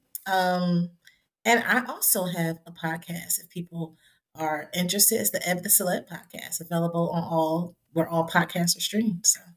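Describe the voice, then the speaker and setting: Speaking at a moderate pace, a woman with an American accent uses an unremarkable speaking voice with a fairly low pitch. Her pitch variation is ordinary, while her loudness swings widely. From Trenton, New Jersey. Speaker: counselor and professor. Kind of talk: interview.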